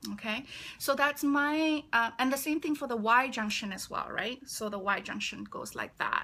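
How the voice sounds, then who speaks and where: The speaker is a woman. She talks in a Malaysian accent. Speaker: feng shui consultant. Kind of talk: live stream talk. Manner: hesitant, many fillers.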